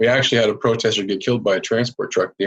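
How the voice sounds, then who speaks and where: Speaking very fast, a man talks in a Canadian accent. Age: 40s. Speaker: biker. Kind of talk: casual chat.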